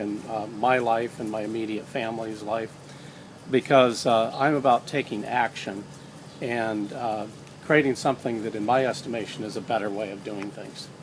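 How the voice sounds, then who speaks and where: Over noticeable background noise, a man at a medium pitch speaks with fairly even intonation but big swings in loudness. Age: 60s. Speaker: social entrepreneur and author. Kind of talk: casual interview on a walk. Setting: outdoors walk, filmed on iPad. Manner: hesitant, many fillers.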